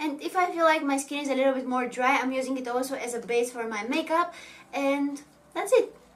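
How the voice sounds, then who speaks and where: Audible room echo surrounds a woman with a Bulgarian accent. Her voice is high, her pace fairly quick, and her pitch variation ordinary. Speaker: beauty vlogger, makeup artist. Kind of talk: Q&A vlog. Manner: casual, slightly halting.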